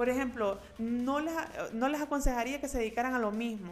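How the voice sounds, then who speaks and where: A woman speaks at a fairly quick pace in a normal speaking voice, her pitch varying in an ordinary way. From Honduras, Tegucigalpa. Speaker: lawyer. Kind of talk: interview conversation. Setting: her office.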